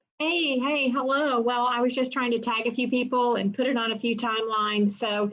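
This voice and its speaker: Speaking at a moderate pace, a woman with a Southern US accent keeps her intonation fairly even. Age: 60s. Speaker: family rights attorney. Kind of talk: interview.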